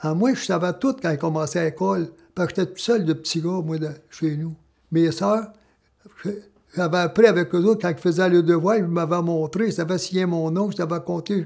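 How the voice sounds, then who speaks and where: This man has a Quebec accent and a high pitch, talking at a moderate pace with fairly even intonation. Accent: rural Quebec French. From Quebec, Laurentians (Saint-Rémi-d'Amherst). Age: 90s. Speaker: former miner. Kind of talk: testimony. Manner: halting.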